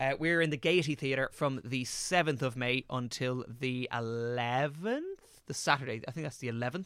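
With a strong Irish accent, a man speaks with hardly any pauses and ordinary pitch variation. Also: medium pitch for a man, moderate pace. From Ireland. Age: 20s. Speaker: actor. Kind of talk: casual chat.

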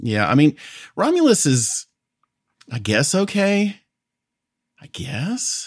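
A man with a fairly high, somewhat breathy voice talks at a very slow pace, his pitch swinging very widely between long, frequent pauses. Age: 40s. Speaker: guest movie picker. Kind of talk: casual chat. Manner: halting, many repetitions.

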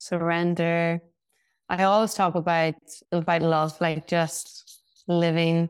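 A woman's voice with a Northern Irish accent, dry and close with no echo, on a very clean recording with a silent background. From Northern Ireland. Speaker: hairstylist and founder. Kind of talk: casual interview chat.

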